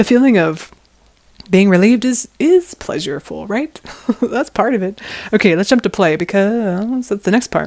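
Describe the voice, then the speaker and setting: A woman at medium pitch, moderate pace and lively intonation. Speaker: personal growth vlogger. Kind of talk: casual monologue to camera. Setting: outdoors on a quiet street. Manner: loud; animated.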